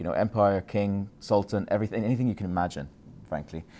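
A man's fairly low voice at a very fast pace, with fairly even intonation. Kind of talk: lecture. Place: hall.

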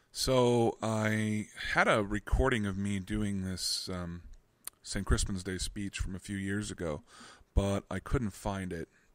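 A normal speaking voice from a man, fairly low in pitch with fairly even intonation at a fairly slow pace, in a dry sound with no echo. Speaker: amateur reader. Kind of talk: casual talk to camera. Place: home room. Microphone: studio mic.

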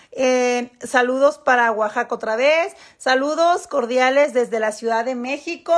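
High-pitched speech from a woman over a quiet background. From Mexico. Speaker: model and influencer; influencer. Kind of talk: casual livestream chat with viewers. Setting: Instagram live stream. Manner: animated, lots of fillers and repetitions. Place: home room. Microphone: phone near.

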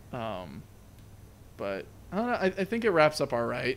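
A man's voice with very wide pitch swings over light background noise. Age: 20s. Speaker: movie review podcast co-host; movie review podcast host. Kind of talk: casual chat. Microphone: studio mic.

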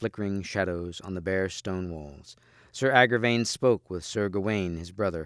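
Someone is reading aloud in a natural voice. The pitch shows ordinary variation.

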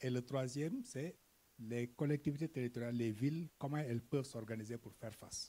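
Speaking very fast, a man with a somewhat breathy, dark and mellow tone keeps his intonation fairly even. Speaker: NGO development worker. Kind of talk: conference presentation. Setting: conference stage with audience. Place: hall. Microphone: handheld.

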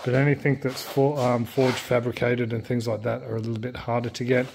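A man at a fairly quick pace with monotone, flat intonation over light background noise. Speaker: hobby tractor restorer. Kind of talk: casual vlog chat. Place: garage. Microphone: phone near.

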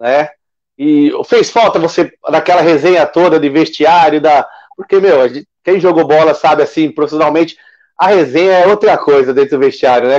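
Against a quiet background, a man with a fairly high, unremarkable speaking voice talks at a moderate pace with fairly even intonation. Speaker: sports web show host; show host. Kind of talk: casual interview. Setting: live stream. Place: home room. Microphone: video call.

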